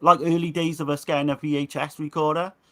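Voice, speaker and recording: Speaking at a fairly quick pace, a man with a fairly high pitch and a bright, sharp tone comes through in a very clean recording with a silent background. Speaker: movie website co-runner. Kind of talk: casual chat.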